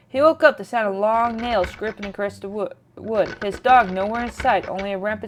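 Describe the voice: This is plain reading aloud. The text is read through.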